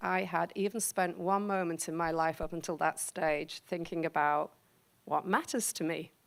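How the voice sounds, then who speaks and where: On a very clean recording with a silent background, a woman with a slight Liverpool accent talks at a moderate pace. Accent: English accent, Liverpool tinge. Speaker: professor. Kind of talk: talk to an audience. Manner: conversational, many fillers.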